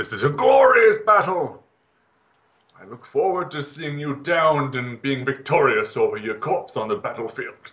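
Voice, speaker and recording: Putting on a character voice, a man speaks at a moderate pace with a fairly high pitch and very wide pitch swings. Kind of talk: heroic bluster. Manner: grandiose, eager for battle.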